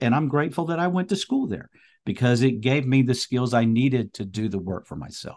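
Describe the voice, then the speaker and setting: Against a quiet background, a man at medium pitch talks at a fairly quick pace with very wide pitch swings. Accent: American. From US South, North Carolina. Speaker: priest and speaker. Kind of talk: interview testimony.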